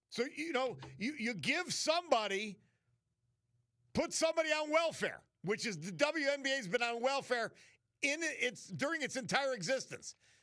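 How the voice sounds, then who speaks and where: An American-accented man speaks in a raised, projected voice at an extremely high pitch, with a bright, sharp, animated tone, lively intonation, a moderate pace and long, frequent pauses. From New York City. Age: 60s. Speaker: radio host. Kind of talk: talk radio monologue.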